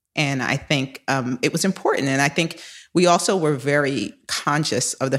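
In an American accent, a woman speaks at a very deep, low pitch with ordinary pitch variation. The recording is very clean with a silent background. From New York City, the Bronx. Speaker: investment executive. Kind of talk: interview.

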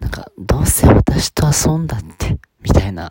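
A man talks with very wide pitch swings. The sound is dry and close, with no echo. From Okinawa, Japan. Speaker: podcaster. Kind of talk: solo monologue. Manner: halting.

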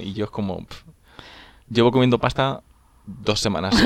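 Fairly low pitch for a man, a fairly quick pace, and ordinary pitch variation. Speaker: podcast co-host. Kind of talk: casual chat. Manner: fast.

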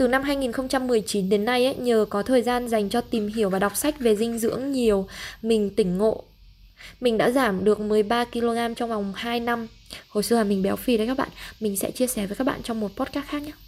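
A woman's ordinary speaking voice, fairly high in pitch, at a moderate pace with fairly even intonation. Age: 20s. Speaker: travel podcaster and freelance marketer. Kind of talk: solo podcast monologue.

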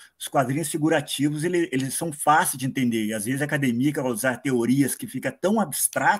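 This man has an unremarkable speaking voice with a fairly high pitch. He talks at a fairly quick pace with lively intonation. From Paraná, Brazil. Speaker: listener, comics fan. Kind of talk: casual chat. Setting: video call.

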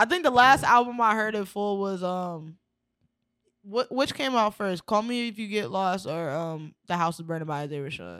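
An unremarkable speaking voice from a woman, medium in pitch, with lively intonation, a moderate pace, big swings in loudness, and a very clean recording, silent background. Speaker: rapper. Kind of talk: casual chat. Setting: studio.

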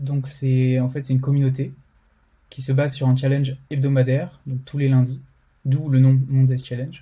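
Somewhat breathy, a man speaks at a medium pitch with a dark, mellow tone and monotone, flat intonation. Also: moderate pace. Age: 20s. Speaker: motion designer and community co-founder. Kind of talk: interview. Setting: remote recording.

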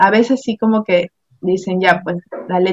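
Recorded dry and close with no echo, a woman speaks with ordinary pitch variation. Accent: coastal Ecuadorian. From Ecuador, Guayaquil. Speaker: administrative assistant and entrepreneur. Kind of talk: interview. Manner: halting, many repetitions.

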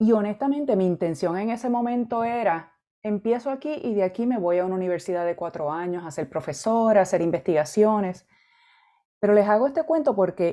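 A woman speaks at a fairly quick pace and medium pitch. Her tone is dark and mellow, her intonation lively. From Puerto Rico (Arecibo). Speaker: education executive, psychologist. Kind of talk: interview.

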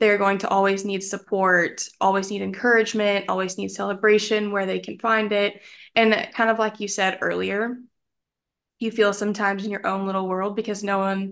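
Against a quiet background, a woman with an American accent speaks at medium pitch and a moderate pace in a monotone, flat intonation. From Texas, Dallas. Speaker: marketing professional, friend of host. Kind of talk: casual interview chat.

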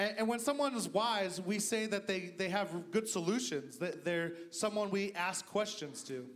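Noticeable background noise sits behind a man's high-pitched voice. He talks at a fairly slow pace with hardly any pauses. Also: ordinary pitch variation. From US, Idaho. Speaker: guest pastor. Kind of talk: sermon. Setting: church service with congregation.

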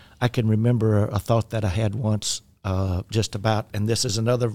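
A dark, mellow tone with a Southern US accent, fairly even intonation, and a fairly quick pace. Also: man. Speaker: podcast host and minister. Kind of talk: casual chat about faith and podcasting. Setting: studio. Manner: self-deprecating, talkative, humorous.

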